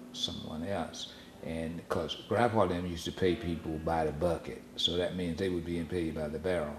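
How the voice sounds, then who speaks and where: Amid noticeable background noise, a man with a Southern US accent speaks at a moderate pace in a very deep, low pitch with fairly even intonation. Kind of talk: family oral history recollection. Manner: conversational, hesitant.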